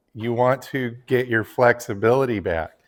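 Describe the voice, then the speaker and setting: A man speaks at a fairly slow pace with a medium pitch and monotone, flat intonation. The recording is very clean, with a silent background. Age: 50s. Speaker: fitness vlogger and landscaper. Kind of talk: casual tutorial vlog.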